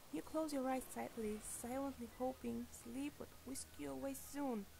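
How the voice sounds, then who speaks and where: A woman's high voice at a fairly slow pace, with noticeable background noise. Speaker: creepypasta narrator. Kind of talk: horror story narration.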